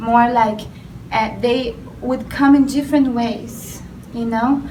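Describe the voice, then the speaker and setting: Over noticeable background noise and audible room echo, a woman speaks at a very slow pace. Her pitch is high and her intonation fairly even. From Brazil. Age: young. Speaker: spiritual artist. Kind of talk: interview.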